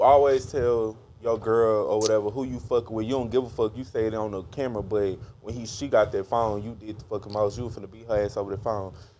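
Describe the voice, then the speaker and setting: A man rattles along at a very fast pace with fairly even intonation, noticeable noise in the background. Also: medium pitch for a man, big swings in loudness. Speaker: podcast co-host. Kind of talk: casual chat.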